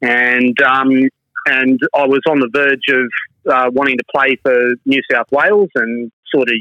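A man with an Australian accent talks at a fairly slow pace in a medium pitch, his tone bright and sharp. The intonation is fairly even, the loudness very even, and the sound dry and close with no echo. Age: 50s. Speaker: sports referee. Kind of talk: interview.

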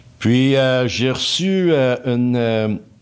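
Lively intonation from a man at a medium pitch, on a very clean recording with a silent background. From Quebec, Laurentides (Pointe-Calumet). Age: 60s. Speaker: engineer. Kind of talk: casual interview. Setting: studio.

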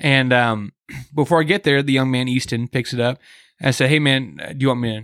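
A man with an ordinary speaking voice and medium pitch speaks at a fairly quick pace with fairly even intonation, dry and close with no echo, on a very clean recording with a silent background. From US Midwest, Kansas City. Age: 30s. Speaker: hunting podcast host. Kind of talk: casual chat. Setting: hunting lodge.

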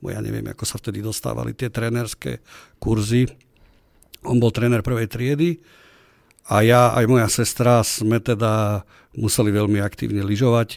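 Speaking at medium pitch and a moderate pace, a man leaves long, frequent pauses and keeps his intonation fairly even in a very clean recording with a silent background. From Slovakia, Trenčín. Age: 40s. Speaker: regional party chairman, politician. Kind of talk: interview. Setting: studio.

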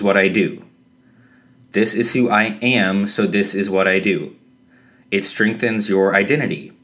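Audible room echo surrounds a man's voice. He speaks at a fairly low pitch with fairly even intonation. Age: 30s. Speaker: podcast host. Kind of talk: solo podcast monologue. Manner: hesitant with fillers.

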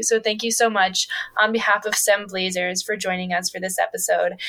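Noticeable background noise surrounds a woman speaking at a moderate pace. Her medium-pitched voice stays monotone, with flat intonation. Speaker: podcast co-host. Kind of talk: interview conversation.

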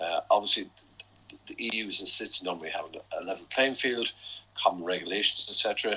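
A man with an Irish accent at a fairly quick pace, with big swings in loudness. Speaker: chief economist. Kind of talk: interview on financial markets. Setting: podcast. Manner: hesitant with fillers.

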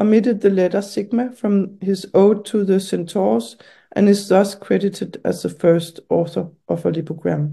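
Speaking at a fairly slow pace, a woman with vocal fry holds a medium pitch and ordinary pitch variation. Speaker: writer and artist. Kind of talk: interview. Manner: halting.

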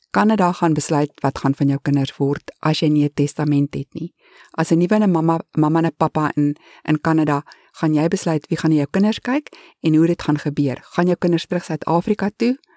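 A woman speaks in a very deep, low voice with a dark, mellow tone and ordinary pitch variation, recorded dry and close with no echo against a very clean, silent background. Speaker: immigrant vlogger. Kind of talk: informal advice talk.

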